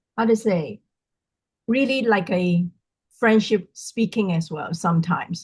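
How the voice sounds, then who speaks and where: Her pitch varies in an ordinary way as the woman speaks in a somewhat breathy voice. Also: dry, close sound with no echo. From Hong Kong. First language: not English. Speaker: sales team member, workshop participant. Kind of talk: video call self-introduction. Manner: halting.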